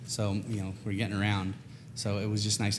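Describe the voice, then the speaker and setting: With an American accent, a man speaks very fast at a fairly low pitch, somewhat breathy and in a flat monotone. Room echo is audible. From California, US. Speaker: spice rub maker. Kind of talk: casual interview.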